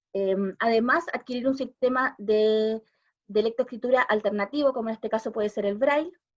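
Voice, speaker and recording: A woman speaks with a fairly high pitch. Her pitch variation is ordinary, and the background is quiet. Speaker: special education teacher, visual impairment expert. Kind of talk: talk at a panel discussion. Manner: fast.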